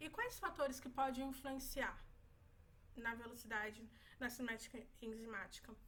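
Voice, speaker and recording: A woman speaks with a high pitch and a bright, sharp tone, her pitch rising and falling in an ordinary way. Long pauses come often, and the room echo is audible. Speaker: medical student. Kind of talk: exam review tutorial. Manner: fast.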